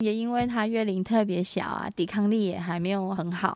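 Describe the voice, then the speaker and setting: A woman speaks at a moderate pace and medium pitch with ordinary pitch variation, on a very clean recording with a silent background. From Taiwan. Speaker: English teacher and mother. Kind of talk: casual interview.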